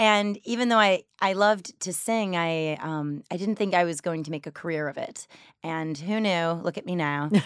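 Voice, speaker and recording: A normal speaking voice with an American accent. The recording is very clean, with a silent background. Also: woman, fairly low pitch for a woman, ordinary pitch variation, moderate pace. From US Midwest, Detroit. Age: 30s. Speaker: Broadway actress and singer. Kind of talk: interview.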